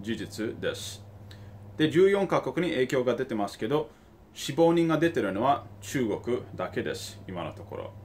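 A man speaks at a fairly slow pace, somewhat breathy. His pitch swings very widely over light background noise. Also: medium pitch for a man. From Tokyo, Japan. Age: 30s. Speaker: investor and finance YouTuber; investor commentator. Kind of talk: video commentary. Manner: halting, with many fillers. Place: home room. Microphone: phone near.

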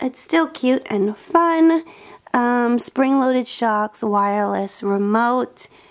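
Against a quiet background, a woman speaks very slowly at a high pitch with lively intonation. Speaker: lifestyle vlogger and mom; lifestyle vlogger. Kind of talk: gift haul show-and-tell. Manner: casual, chatty. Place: home room. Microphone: phone near.

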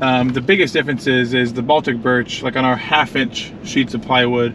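At a moderate pace, a man speaks in a dry sound with no echo and light background noise. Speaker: vlogger driving. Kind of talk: casual vlog chat. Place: car. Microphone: camera far.

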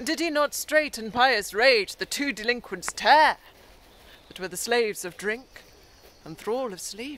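A woman speaks in a high pitch with lively intonation and a bright, sharp tone. The sound is dry with no echo over light background noise. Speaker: actor performing a monologue. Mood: intense, ironic, theatrical. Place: forest. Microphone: phone near.

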